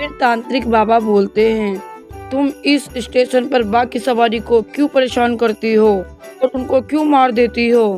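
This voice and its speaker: Music plays behind a woman speaking. Her pitch is fairly high and her intonation fairly even. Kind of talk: children's cartoon story narration.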